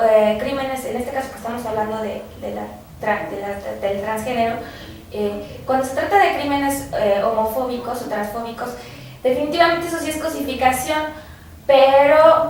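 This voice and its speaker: Speaking at a moderate pace, a woman with a high voice and ordinary pitch variation swings widely in loudness, with noticeable background noise and audible room echo. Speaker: student researcher. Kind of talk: radio interview.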